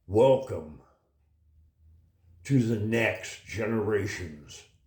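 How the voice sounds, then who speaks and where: Somewhat breathy, a man talks at a very slow pace in a medium pitch with ordinary pitch variation. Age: 80s+. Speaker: political commentary vlogger. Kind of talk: opinion monologue. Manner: animated.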